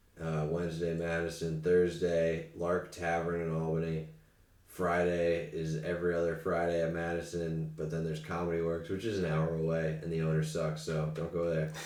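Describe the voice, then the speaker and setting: With audible room echo, a man speaks in a very deep, low pitch and a monotone, flat intonation. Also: moderate pace. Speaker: comedian. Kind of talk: casual chat.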